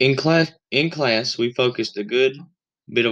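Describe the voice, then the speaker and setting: A man speaks with a Southern US accent and ordinary pitch variation. The background is quiet. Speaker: college student podcaster. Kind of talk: scripted narration; interview.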